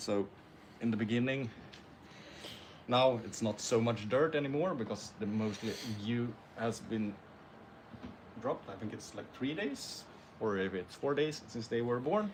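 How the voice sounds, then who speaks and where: Against noticeable background noise, a man at medium pitch talks at a moderate pace with long, frequent pauses. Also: ordinary pitch variation. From Sweden. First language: Swedish. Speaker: snake breeder. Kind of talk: live stream Q&A.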